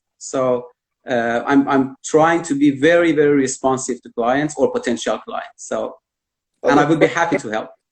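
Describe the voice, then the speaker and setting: This is a man speaking. He has a Persian accent. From Iran. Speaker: immigration consultant. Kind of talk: interview on live video stream. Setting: live virtual event. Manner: hesitant, many fillers.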